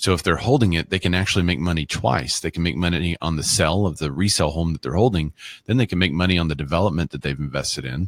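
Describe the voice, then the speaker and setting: Speaking at a very fast pace with hardly any pauses, a man with a very deep, low pitch, vocal fry and ordinary pitch variation is heard on a very clean recording with a silent background and a dry, close sound with no echo. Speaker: real estate show host. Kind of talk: live broadcast discussion.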